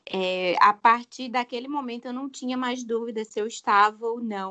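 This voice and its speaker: A woman in a normal speaking voice, fairly high in pitch, at a fairly slow pace with fairly even intonation. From João Pessoa, Paraíba, Brazil. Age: 20s. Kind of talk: casual chat.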